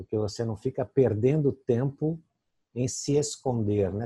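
Somewhat breathy, a man speaks fairly slowly at a medium pitch with lively intonation and a dark, mellow tone. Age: 60s. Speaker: interview host. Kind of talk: interview. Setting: video call.

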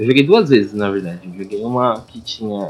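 A man's fairly low voice at a moderate pace. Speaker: podcast co-host. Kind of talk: casual chat. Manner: quieter than usual.

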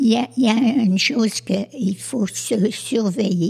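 At a very slow pace, a woman with a fairly high pitch and ordinary pitch variation speaks over noticeable background noise. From Quebec, Sherbrooke. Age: old. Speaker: community group founder, senior. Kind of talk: casual discussion. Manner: halting, repeats words.

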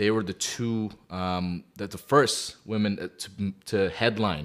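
A man with an ordinary speaking voice and a fairly low pitch talks at a fairly slow pace. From Calgary, Canada. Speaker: podcast co-host. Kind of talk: casual chat.

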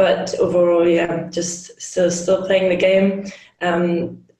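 With a German accent, a woman speaks at a moderate pace in a fairly low pitch and monotone, flat intonation, with audible room echo. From Germany, Hamburg. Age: 30s. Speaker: hockey player and team captain. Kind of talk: interview.

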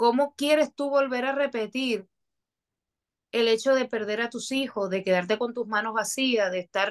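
This is a plain, everyday voice. It has ordinary pitch variation. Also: woman. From Dominican Republic, Moca. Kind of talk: testimony.

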